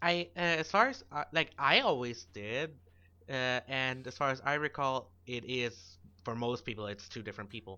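Using ordinary pitch variation, a man with a German accent speaks at a medium pitch and a moderate pace. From Germany. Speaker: podcast co-host. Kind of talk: casual chat.

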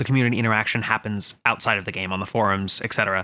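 A man's playful voice, bright and sharp in tone, at a very fast pace. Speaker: podcast co-host. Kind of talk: casual chat. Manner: joking, playful.

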